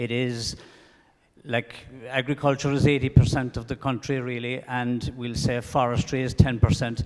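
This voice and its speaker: In an Irish accent, a man speaks with monotone, flat intonation and big swings in loudness. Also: medium pitch for a man, moderate pace. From Ireland. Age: 60s. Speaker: audience member. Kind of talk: audience question. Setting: lecture hall with audience.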